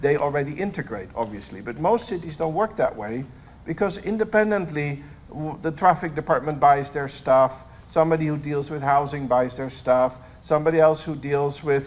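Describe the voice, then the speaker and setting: With an unremarkable speaking voice, a man keeps a moderate pace and a fairly high pitch, his pitch varying in an ordinary way. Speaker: smart city technology expert, panel speaker. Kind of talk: conference presentation.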